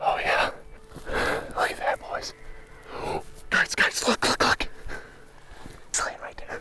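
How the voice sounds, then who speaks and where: A man whispers at a fairly slow pace, pausing long and often, with noticeable background noise behind him. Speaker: bowhunter and outdoor video host. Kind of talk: casual hunting vlog commentary. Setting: outdoors in the field. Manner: animated.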